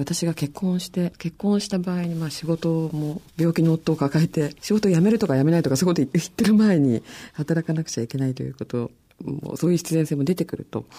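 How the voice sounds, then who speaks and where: A fairly low, dark, mellow female voice at a fairly quick pace with ordinary pitch variation. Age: 40s. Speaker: magazine deputy editor. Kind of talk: radio panel discussion.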